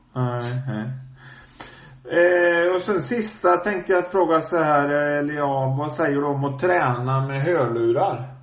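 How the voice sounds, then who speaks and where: The speech moves at a very slow pace with lively intonation. Noticeable background noise and audible room echo are present. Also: man, fairly high pitch for a man. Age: 50s. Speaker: podcast host. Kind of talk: casual interview. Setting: phone call.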